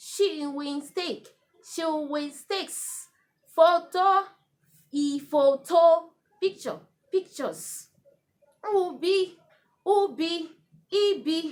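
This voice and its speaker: A woman with a Nigerian accent speaks at an extremely high pitch with ordinary pitch variation. Her pace is very slow, broken by long, frequent pauses. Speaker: Urhobo language teacher. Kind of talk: language lesson vocabulary list.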